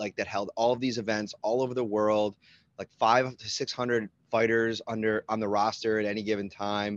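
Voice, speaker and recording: Someone speaks with a Buffalo accent and fairly even intonation in a dry, close recording with no echo. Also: man, quiet background. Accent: Western New York (Buffalo). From Buffalo, New York. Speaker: sports beat reporter. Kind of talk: casual interview.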